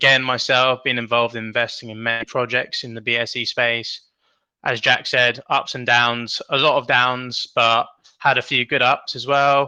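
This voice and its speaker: A man with a British accent and a bright, sharp tone, medium in pitch, at a fairly slow pace against a quiet background. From UK. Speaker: crypto project co-founder. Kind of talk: interview.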